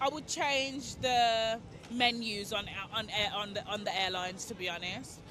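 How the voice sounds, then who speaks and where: Against music in the background, a woman with an English accent speaks fairly slowly at a fairly high pitch with ordinary pitch variation. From England. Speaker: festival-goer interviewed on the street. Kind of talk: street interview. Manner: casual, chatty.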